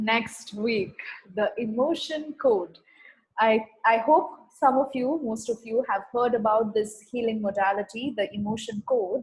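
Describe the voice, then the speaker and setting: At a fairly slow pace, a woman talks in a fairly high, somewhat breathy voice with ordinary pitch variation. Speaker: spiritual healing facilitator. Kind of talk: online healing session talk.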